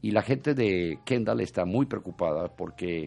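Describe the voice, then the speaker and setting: A fairly low-pitched man's voice with vocal fry at a moderate pace, over a quiet background. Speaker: radio host. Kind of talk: casual chat and news commentary.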